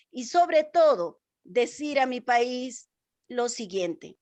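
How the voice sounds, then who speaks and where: A high-pitched woman with an Andean accent against a quiet background. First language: Quechua (speaking Spanish). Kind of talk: interview. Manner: formal.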